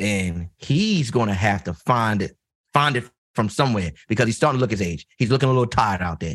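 A man at a fairly quick pace with a Baltimore accent. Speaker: podcast co-host. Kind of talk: casual, conversational.

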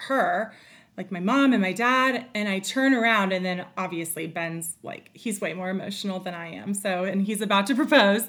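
A woman's ordinary speaking voice at medium pitch, with an American accent, ordinary pitch variation, and a moderate pace, on a very clean recording with a silent background. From North Carolina. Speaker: wife of a football coach. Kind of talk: casual interview.

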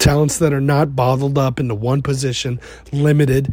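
In an enthusiastic tone, a man with an American accent speaks at a medium pitch and a moderate pace, sounding somewhat breathy. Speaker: college football podcast host. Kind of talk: solo podcast monologue about recruiting. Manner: casual, enthusiastic.

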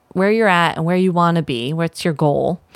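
A woman has an ordinary speaking voice with a fairly low pitch and ordinary pitch variation. The sound is dry and close, with no echo. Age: 40s. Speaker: herbalist and podcast host. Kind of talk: casual solo podcast talk.

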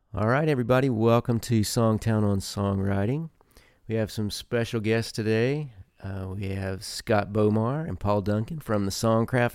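This man has an unremarkable speaking voice, medium in pitch, and speaks at a fairly slow pace. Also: very clean recording, silent background. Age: 50s. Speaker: podcast host, songwriter. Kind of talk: casual interview chat; podcast intro and outro.

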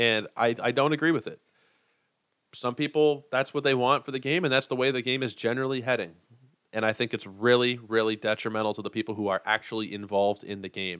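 A man speaks at a medium pitch and a fairly quick pace with ordinary pitch variation, in a very clean recording with a silent background and a dry, close sound with no echo. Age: 20s. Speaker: fantasy baseball podcast host. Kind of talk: solo angry rant about his baseball team. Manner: heated and profane, swearing in frustration; emphatic, repetitive insistence.

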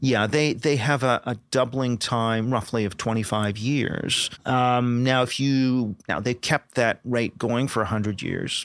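A man with an unremarkable speaking voice, medium in pitch, fairly even in intonation, at a fairly slow pace with hardly any pauses. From Canada. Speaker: political scientist. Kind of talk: interview.

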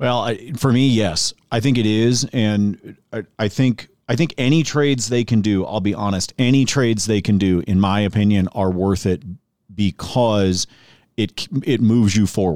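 A man with an American accent speaks in a fairly low pitch at a moderate pace, with ordinary pitch variation. The recording is very clean, with a silent background. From Oregon. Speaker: sports podcast host and betting analyst. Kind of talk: casual sports talk radio chat. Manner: halting, many fillers.

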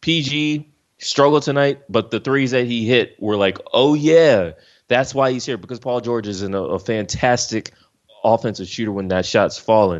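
Speaking at a moderate pace with an American accent, this is an unremarkable speaking voice with lively intonation. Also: man. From US East Coast, Philadelphia. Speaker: sports journalist. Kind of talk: casual podcast interview.

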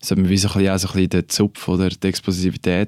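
A man's fairly low voice, dark and mellow in tone, on a very clean recording with a silent background. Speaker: retired ice hockey player. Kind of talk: casual interview. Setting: studio.

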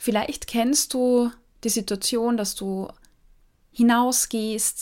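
This woman keeps her intonation fairly even, and the recording is very clean with a silent background. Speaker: nutrition psychologist and podcast host. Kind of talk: solo educational podcast talk.

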